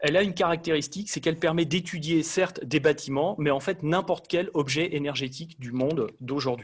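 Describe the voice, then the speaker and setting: Fairly brisk male speech with ordinary rises and falls in pitch. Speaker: energy design engineer presenter. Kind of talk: lecture. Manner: fast.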